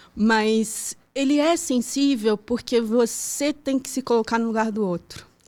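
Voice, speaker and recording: A woman's fairly high voice in a slight Pará accent at a fairly slow pace. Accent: slight northern Brazilian (Pará). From Brazil, childhood in Pará and moving around. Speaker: architect and urban planning professor. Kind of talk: podcast interview.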